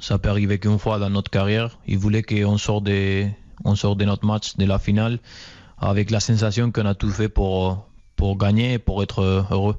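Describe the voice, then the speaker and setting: Speaking at a moderate pace, a man keeps a fairly low pitch, a monotone, flat intonation and very even loudness. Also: quiet background. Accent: Spanish. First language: Spanish (speaking French). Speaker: professional footballer. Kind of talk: interview.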